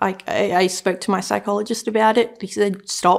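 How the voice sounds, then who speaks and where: A woman with an Australian accent speaks at a moderate pace and a medium pitch. The recording is very clean, with a silent background. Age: 20s. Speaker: student sharing experience of sleep disorders. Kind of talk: personal testimony interview. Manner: hesitant, many fillers.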